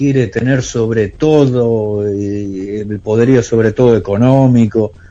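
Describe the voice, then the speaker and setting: Here a man talks at a very slow pace. His voice sits at medium pitch. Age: 50s. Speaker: musician and long-distance driver. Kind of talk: radio interview. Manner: hesitant.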